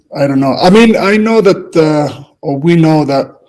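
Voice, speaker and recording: A man speaks with a Spanish accent. His pace is moderate. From Spain. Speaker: football coach. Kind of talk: casual chat. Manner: halting.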